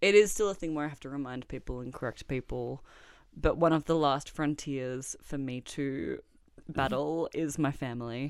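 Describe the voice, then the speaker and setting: The speaker has an Australian accent. Loudness swings widely from moment to moment. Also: woman, very clean recording, silent background. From Australia, Melbourne. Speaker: artist and poet. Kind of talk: interview.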